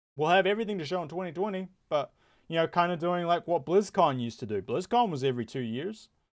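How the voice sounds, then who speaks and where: A man speaks at a very fast pace. His pitch is high. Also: quiet background. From New Zealand. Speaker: gaming YouTuber. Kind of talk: casual commentary vlog. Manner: casual, halting with many repetitions and fillers.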